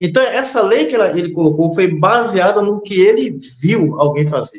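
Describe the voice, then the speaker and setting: A man's high-pitched voice with lively intonation, moderate pace and audible room echo. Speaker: religious teacher. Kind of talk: interview. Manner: hesitant, many fillers.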